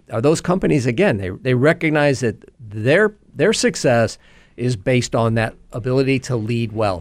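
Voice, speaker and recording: Against a very clean recording with a silent background, a man with a normal speaking voice and medium pitch talks at a moderate pace with lively intonation. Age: 60s. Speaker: leadership trainer and business owner. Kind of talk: radio interview.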